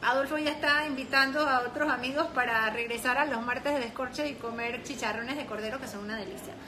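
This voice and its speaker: A woman's raised, projected voice, high in pitch and very fast with hardly any pauses and fairly even intonation, over noticeable background noise. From France. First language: French (speaking Spanish). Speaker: sommelier and live-stream host. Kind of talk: casual interview.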